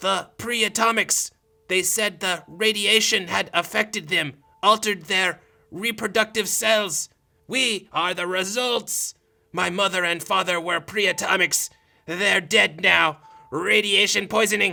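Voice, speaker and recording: A man puts on a high-pitched character voice and speaks at a fairly slow pace. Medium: audio drama. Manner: calm, gentle.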